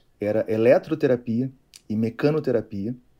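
A man speaks at a fairly slow pace with a medium pitch. His tone is dark and mellow, with ordinary pitch variation. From Rio de Janeiro state, Niterói. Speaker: physiotherapist. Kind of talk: casual chat. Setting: video call.

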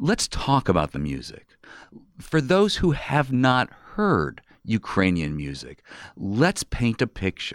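On a very clean recording with a silent background and a dry, close sound with no echo, a man speaks at a very slow pace and medium pitch with very wide pitch swings. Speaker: radio host. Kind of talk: radio interview. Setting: community radio studio.

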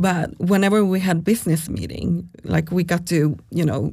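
A woman's fairly low voice with a dark, mellow tone and vocal fry. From Sweden. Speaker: startup founder and CEO. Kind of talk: casual interview conversation.

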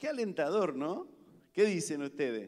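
A high-pitched man's voice with very wide pitch swings, in a room with audible echo. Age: 50s. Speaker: pastor. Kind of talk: sermon.

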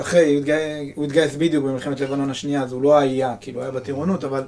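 The man's voice sits at a fairly high pitch, and his intonation stays fairly even. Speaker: army veteran. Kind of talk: testimony.

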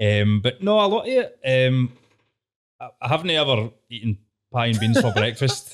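A man speaks at a medium pitch with a Glaswegian accent. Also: moderate pace. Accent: Glaswegian Scottish. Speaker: comedy show co-creator. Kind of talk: casual interview chat. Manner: informal, laughs often.

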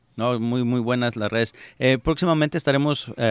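The speaker keeps a moderate pace and fairly even intonation. It is an ordinary speaking voice. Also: man. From Mexico, Jalisco. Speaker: radio host. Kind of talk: casual chat.

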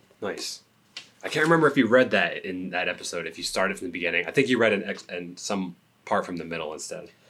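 A man with a fairly low pitch, very fast pace, lively intonation and big swings in loudness, over noticeable background noise. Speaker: podcast co-host. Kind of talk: casual chat.

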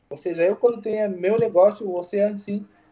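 A man speaks at a fairly slow pace with a Spanish accent. His pitch is high. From Uruguay. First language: Spanish (speaking Portuguese). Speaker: barber. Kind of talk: casual interview chat.

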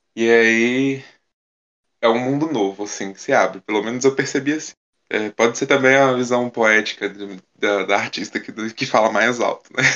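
This man has a plain, everyday voice at a medium pitch. He talks at a moderate pace with fairly even intonation and big swings in loudness. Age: 20s. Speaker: singer. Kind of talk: casual chat.

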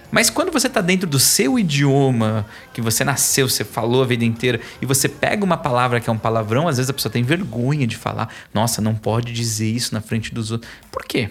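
Medium-pitched male voice with ordinary pitch variation at a fairly quick pace, music in the background. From São Paulo east zone, Brazil. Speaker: author and course instructor. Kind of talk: podcast interview. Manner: animated.

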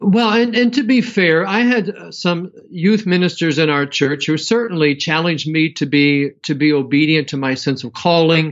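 Speaking with an American accent at a moderate pace, a man uses a normal speaking voice pitched fairly high. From US Midwest (Southwestern Ohio). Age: 50s. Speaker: seminary professor. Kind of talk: interview.

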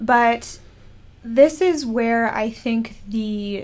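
A woman with an Upper Midwest accent and a fairly high pitch. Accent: Upper Midwest American. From Minnesota. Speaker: graduate student. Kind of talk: panel discussion.

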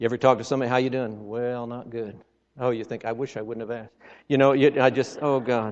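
A man's medium-pitched, animated voice at a very fast pace, with big swings in loudness. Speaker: visiting preacher. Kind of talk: sermon. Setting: church with congregation. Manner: animated, exhorting, folksy with humor; fervent, punctuated by Amens and Hallelujahs.

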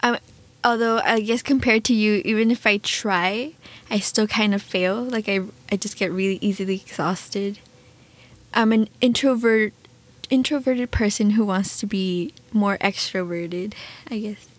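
Soft-spoken and fairly high-pitched, a woman talks at a moderate pace with fairly even intonation and long, frequent pauses. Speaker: podcast co-host. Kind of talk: casual conversation.

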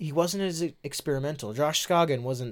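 The recording is very clean, its background silent. The speaker is a man. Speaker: podcast co-host. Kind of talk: casual chat. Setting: studio. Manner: laughing, playful.

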